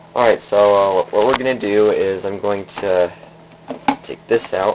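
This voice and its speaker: Mumbling at a fairly slow pace, a man with a fairly low pitch speaks in a monotone, flat intonation over noticeable background noise. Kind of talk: casual home demo talk to camera. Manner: a little mumbling.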